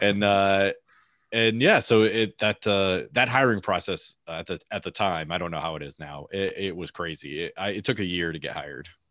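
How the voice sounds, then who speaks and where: Bright and sharp in tone, a man speaks in a fairly low pitch with ordinary pitch variation. His pace is moderate, and the recording is very clean with a silent background. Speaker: former Border Patrol agent and podcaster. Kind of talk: interview conversation. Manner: hesitant with many fillers; laughs often.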